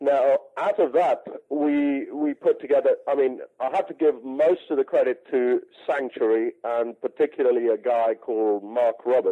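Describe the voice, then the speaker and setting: Speaking at a moderate pace with an English accent, a man keeps his loudness very even. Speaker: music rights manager. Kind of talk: radio interview. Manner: halting, many fillers.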